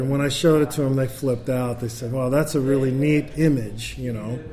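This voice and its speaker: There is noticeable background noise as a man speaks at a fairly quick pace. His medium pitch follows a fairly even intonation. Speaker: jazz bassist. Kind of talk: interview. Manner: talkative, long-winded.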